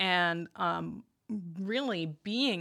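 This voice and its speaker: A woman's fairly low voice comes through on a very clean recording against a silent background. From Northern Virginia, Arlington. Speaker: web services business owner. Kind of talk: interview.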